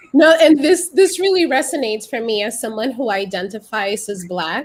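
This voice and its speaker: Speaking with a Dominican accent, the voice shows very wide pitch swings and big swings in loudness. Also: woman, fairly high pitch for a woman. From Dominican Republic. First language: Spanish. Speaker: immigrant artist. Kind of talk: panel discussion. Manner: fast when excited.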